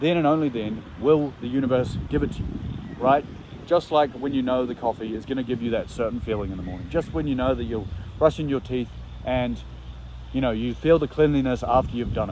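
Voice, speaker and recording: At a fairly quick pace, a man speaks in a medium pitch with ordinary pitch variation. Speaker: vlogger. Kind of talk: motivational vlog monologue. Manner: animated; loud.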